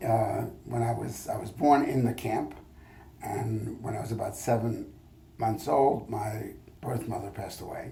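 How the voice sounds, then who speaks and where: Audible room echo carries a man's voice as he talks at a moderate pace. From France (Paris). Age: 70s. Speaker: history professor. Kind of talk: oral history interview. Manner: halting, many fillers.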